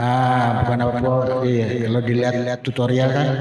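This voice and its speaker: A man at a medium pitch, with audible room echo and noticeable background noise. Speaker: audio mixing tutorial youtuber. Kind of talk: tutorial. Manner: casual, halting with mic test counts.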